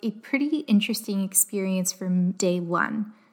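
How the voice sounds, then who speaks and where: Somewhat breathy, a woman with a Canadian accent talks at a fairly slow pace with ordinary pitch variation. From Canada, Windsor, Ontario. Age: 20s. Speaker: podcast host. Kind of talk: solo personal storytelling podcast.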